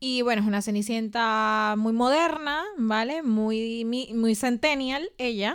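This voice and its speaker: A woman with a fairly high pitch and ordinary pitch variation speaks at a very slow pace with hardly any pauses, in a very clean recording with a silent background. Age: 30s. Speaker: podcast co-host. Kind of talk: casual chat.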